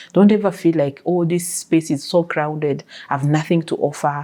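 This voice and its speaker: Spoken at a moderate pace with a non-native accent. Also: woman, very clean recording, silent background. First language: not English. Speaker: life coach, podcast host. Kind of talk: interview answers.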